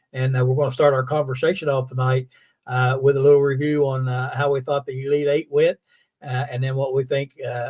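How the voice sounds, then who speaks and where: A man speaks with an American accent at a moderate pace. His voice is somewhat breathy and his intonation monotone and flat. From West Virginia, Fayette County. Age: 60s. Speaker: sports show host. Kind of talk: casual chat. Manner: halting, many fillers.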